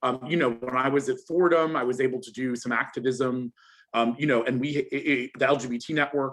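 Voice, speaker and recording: Using a plain, everyday voice, a man with an American accent speaks at a medium pitch and a fairly quick pace with fairly even intonation. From US (New York area). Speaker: lawyer, panellist. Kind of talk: panel discussion.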